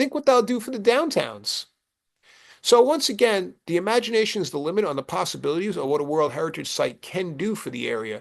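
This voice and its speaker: With a Brooklyn accent, a man speaks in an animated tone at a fairly quick pace, his high pitch swinging very widely. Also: quiet background. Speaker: presenter. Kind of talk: presentation. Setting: video call.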